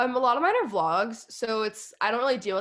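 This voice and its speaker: An unremarkable speaking voice from a woman, at a fairly quick pace with lively intonation. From Texas. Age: 20s. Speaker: YouTuber and podcaster. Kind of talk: casual interview.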